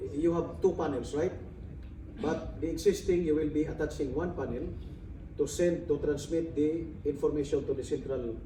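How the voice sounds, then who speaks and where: Over noticeable background noise, a man with a fairly high pitch speaks at a moderate pace and with fairly even intonation. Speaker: audience member. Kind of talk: Q&A question. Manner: loud. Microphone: no microphone.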